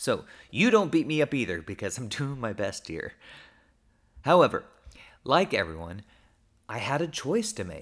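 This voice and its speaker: This man's voice sits fairly high and carries vocal fry, with very wide pitch swings and big shifts in loudness. He talks at a moderate pace with long, frequent pauses, on a very clean recording with a silent background. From Oklahoma, US. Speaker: pastor. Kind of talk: personal reflection monologue. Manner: casual, conversational.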